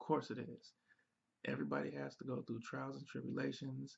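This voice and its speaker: The man is soft-spoken. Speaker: relationship advice show co-host. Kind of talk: casual Q&A chat.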